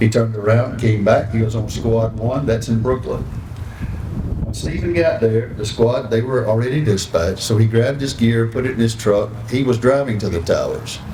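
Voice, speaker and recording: Someone with a Southern US accent speaks at a moderate pace with fairly even intonation, amid noticeable background noise and audible room echo. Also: man, medium pitch for a man. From North Carolina. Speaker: foundation ambassador. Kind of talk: ceremony speech.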